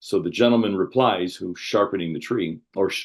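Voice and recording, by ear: A natural voice reading a text out loud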